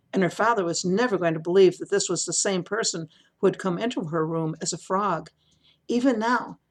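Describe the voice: Plain reading aloud, quiet background behind it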